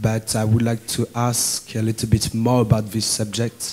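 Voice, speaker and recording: A man speaks at medium pitch with a French accent. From France. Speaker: student asking a question. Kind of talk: audience question. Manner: halting.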